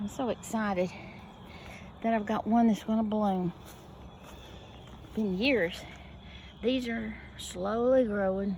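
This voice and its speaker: A woman with an American accent at a fairly high pitch, with fairly even intonation, a very slow pace and long, frequent pauses. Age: 70s. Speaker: gardening vlogger. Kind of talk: casual walkthrough vlog. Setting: outdoors in garden. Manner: halting, with pauses.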